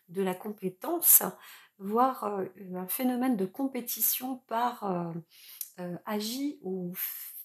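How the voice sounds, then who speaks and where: A woman with a medium-pitched voice and ordinary pitch variation talks very slowly. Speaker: tarot reader / astrologer. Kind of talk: tarot reading for viewers. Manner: hesitant, many fillers.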